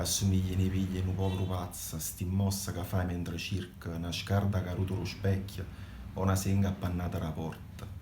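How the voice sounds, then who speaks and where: Over noticeable background noise, a man with a very deep, low voice talks at a fairly quick pace in a flat monotone. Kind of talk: poetry reading.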